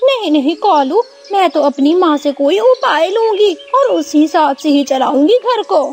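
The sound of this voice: A cartoonish character voice from a woman, extremely high in pitch, at a moderate pace with hardly any pauses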